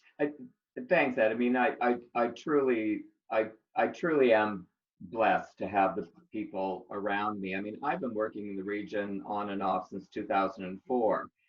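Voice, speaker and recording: A normal speaking voice from a man at a moderate pace, fairly low in pitch with ordinary pitch variation. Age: 60s. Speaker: arts centre executive director. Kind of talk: casual interview.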